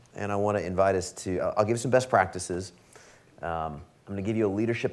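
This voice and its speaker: A man with a very deep, low pitch speaks with audible room echo. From Alaska. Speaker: business leader and speaker. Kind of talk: keynote talk. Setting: stage with audience. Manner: animated.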